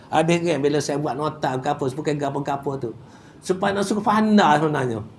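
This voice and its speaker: A fairly high-pitched man amid audible room echo and noticeable background noise. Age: 70s. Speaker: Quran recitation teacher. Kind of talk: religious class lecture. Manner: casual, halting with repetitions.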